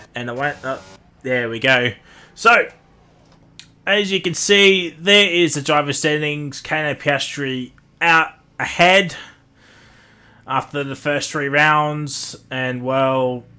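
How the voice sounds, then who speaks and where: The man's tone is bright and sharp, his pitch fairly high with ordinary variation. He speaks very slowly, with long, frequent pauses. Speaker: sim racing commentator. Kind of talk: live commentary. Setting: live stream. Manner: loud; casual, rambling with fillers.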